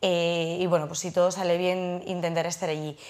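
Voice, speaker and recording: Speaking at a moderate pace, a woman is heard. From Spain, Navarre (Pamplona); Navarre, Spain. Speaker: trail runner and lawyer; lawyer. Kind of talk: studio interview. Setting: studio. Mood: relaxed, friendly. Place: studio. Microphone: lapel.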